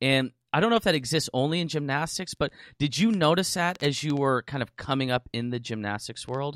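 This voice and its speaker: An unremarkable speaking voice from a man, pitched fairly high, moving at a fairly quick pace with lively intonation. The sound is dry and close, with no echo. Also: very clean recording, silent background. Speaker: podcast host. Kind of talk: casual interview.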